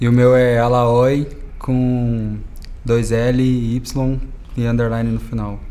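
With audible room echo, a man speaks at a medium pitch and a very slow pace, using monotone, flat intonation and long, frequent pauses. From Minas Gerais, Brazil (Uberlândia). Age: 20s. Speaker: DJ. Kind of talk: casual interview.

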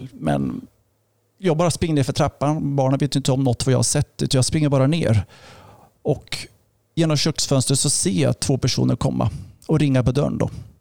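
A man's dark, mellow voice holds a very even loudness, recorded dry and close with no echo. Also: medium pitch for a man, ordinary pitch variation, fairly quick pace. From Östergötland, Sweden. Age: 50s. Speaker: pastor. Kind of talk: testimony.

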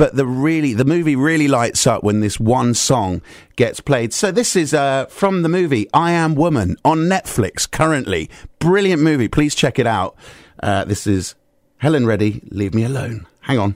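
Fairly high in pitch, a man talks at a moderate pace with very wide pitch swings, recorded very cleanly against a silent background. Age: 40s. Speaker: radio DJ. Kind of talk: radio show chat. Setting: radio studio. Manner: animated.

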